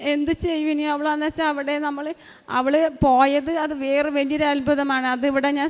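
This woman speaks with a high pitch. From Kerala, Chalakudy. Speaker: pilgrim giving testimony. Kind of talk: testimony. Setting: church altar.

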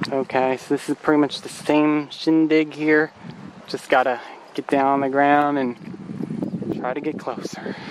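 The recording is dry with no echo, though noticeable background noise is present. A man speaks at a fairly slow pace with fairly even intonation. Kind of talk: casual vlog chat. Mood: playful, slightly frustrated. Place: open country. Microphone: phone near.

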